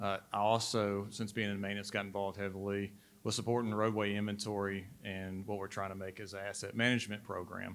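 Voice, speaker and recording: With a Southern US accent, a man speaks at a very fast pace with hardly any pauses. His fairly low voice has monotone, flat intonation. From Mississippi. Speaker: state transportation data manager. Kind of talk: panel discussion.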